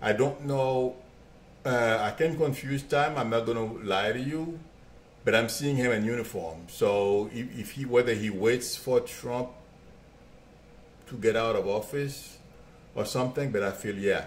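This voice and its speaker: A man talks at a fairly slow pace and a medium pitch with ordinary pitch variation, leaving long, frequent pauses. Noticeable background noise and audible room echo fill the recording. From Haiti. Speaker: psychic medium and real estate agent. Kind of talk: live stream psychic reading, answering viewer questions. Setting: live video stream. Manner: hesitant, repeats words.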